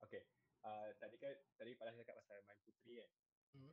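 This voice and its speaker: A man is speaking. His pace is fairly quick. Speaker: storyteller guest. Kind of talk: casual chat.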